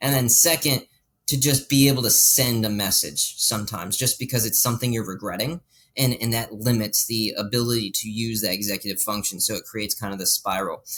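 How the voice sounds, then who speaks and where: Talking at a fairly quick pace, a man has a medium pitch, ordinary pitch variation and an unremarkable speaking voice. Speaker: health coach. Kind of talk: interview.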